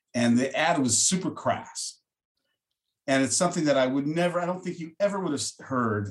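Somewhat breathy, the voice moves through very wide pitch swings. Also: man. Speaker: podcast host. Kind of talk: interview.

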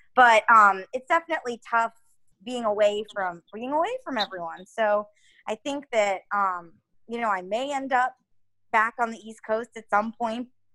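In a New York accent, a woman talks at a moderate pace with a fairly high pitch and ordinary pitch variation. Her tone is bright and sharp, the sound dry and close with no echo. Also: big swings in loudness. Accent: Northeastern US (New York area). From Connecticut, US Northeast. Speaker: TV news reporter. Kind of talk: casual interview.

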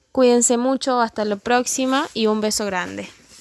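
A woman's normal speaking voice at a fairly high pitch and moderate pace, with dry, close sound and no echo. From Argentina, Córdoba province. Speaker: physical education specialist. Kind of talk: educational talk.

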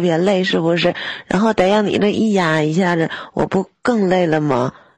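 A woman is talking at a moderate pace. Her pitch variation is ordinary. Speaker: live stream caller. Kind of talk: casual chat.

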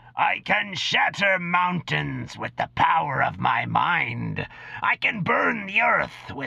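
Fairly slow, raspy delivery from a man in a put-on character voice. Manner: boastful, menacing.

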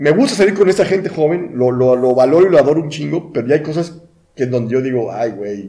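The voice has a dark, mellow tone and lively intonation. The pace is very fast. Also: man, fairly high pitch for a man. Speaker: podcast co-host. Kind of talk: casual chat.

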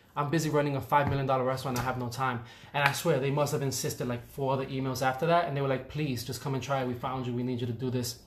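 In a New York accent, a man talks at a very fast pace with hardly any pauses and monotone, flat intonation, amid audible room echo. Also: medium pitch for a man. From New York, the Bronx. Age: 30s. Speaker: chef. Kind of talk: casual chat.

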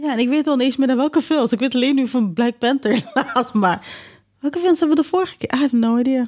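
At a very fast pace, a woman speaks in a high pitch with very even loudness. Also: ordinary pitch variation. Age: 30s. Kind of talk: casual chat.

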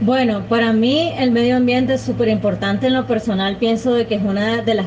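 In a room with audible echo and noticeable background noise, a woman speaks with a fairly high pitch and ordinary pitch variation. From Nicaragua. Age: 20s. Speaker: podcast co-host helper. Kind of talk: casual interview. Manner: halting, repeats words.

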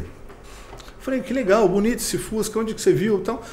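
A man's high-pitched voice at a fairly quick pace, with audible room echo and noticeable background noise. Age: middle-aged. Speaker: vintage car content creator. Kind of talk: casual interview.

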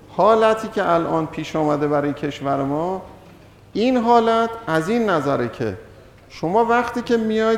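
With audible room echo, a man with a high pitch speaks at a moderate pace using lively intonation. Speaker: economics lecturer. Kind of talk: lecture. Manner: halting, many pauses.

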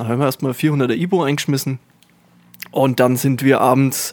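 At a moderate pace, a man talks at a medium pitch. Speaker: podcast co-host. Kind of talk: casual chat.

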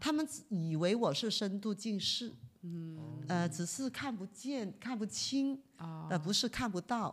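At a very slow pace, a woman with a medium-pitched, somewhat breathy voice speaks with very wide pitch swings in a very clean recording with a silent background. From Guangzhou, China. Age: 50s. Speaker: visually impaired marathon runner. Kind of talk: interview storytelling.

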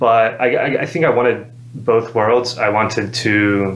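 Noticeable background noise and audible room echo surround the recording. A man speaks in a monotone, flat intonation. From Alabama (Madison). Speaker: recovery program resident and campus leader. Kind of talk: testimony. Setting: on a recovery program campus.

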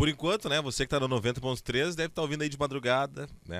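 On a very clean recording with a silent background, a man races along at a very fast pace. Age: 30s. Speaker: radio host. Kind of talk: casual chat. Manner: halting.

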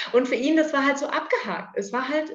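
With audible room echo, a woman speaks at a moderate pace and ordinary pitch variation. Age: 30s. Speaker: adoptive mother, clinical research worker. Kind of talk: interview, personal story.

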